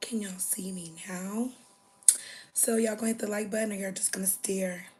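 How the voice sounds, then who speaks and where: The speaker moves at a fairly quick pace against noticeable background noise. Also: woman, medium pitch for a woman. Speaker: livestreamer. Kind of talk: casual livestream chat. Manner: animated.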